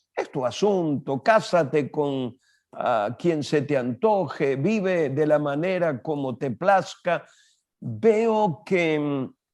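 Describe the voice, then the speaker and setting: Music plays in the background. The delivery is very slow, with lively intonation. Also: man. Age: 70s. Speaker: pastor and international speaker. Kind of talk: interview.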